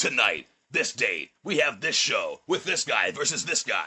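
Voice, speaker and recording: A man performs a put-on character voice. He keeps a moderate pace. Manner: announcer-style promo reading.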